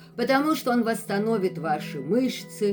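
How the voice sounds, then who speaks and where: Music plays in the background as a woman speaks. She talks at a very slow pace with lively intonation. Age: 60s. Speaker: health vlogger. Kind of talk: casual vlog talk.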